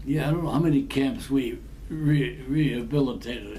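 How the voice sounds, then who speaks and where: A man speaks in an American accent at a moderate pace. Noticeable background noise can be heard. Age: 80s+. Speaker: army veteran of the Korean War. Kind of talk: casual reminiscing storytelling to family.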